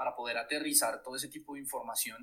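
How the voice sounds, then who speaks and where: A man at a fairly quick pace. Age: 30s. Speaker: experience designer. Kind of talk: interview conversation.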